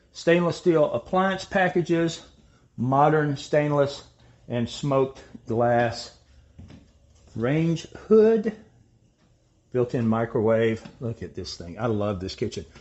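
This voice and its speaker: Very slow and full of long, frequent pauses, a man's speech unfolds. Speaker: home tour host. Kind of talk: tour commentary. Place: kitchen. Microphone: phone near.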